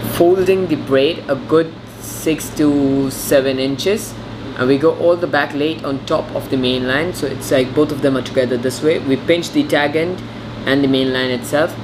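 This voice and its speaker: There is noticeable background noise as a man speaks at a moderate pace. His intonation is fairly even. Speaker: angler demonstrating knots. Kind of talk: tutorial. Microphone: phone near.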